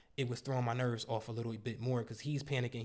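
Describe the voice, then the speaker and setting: Animated in tone, a man talks at a very fast pace. His pitch is medium. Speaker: car rental business coach. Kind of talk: storytime monologue.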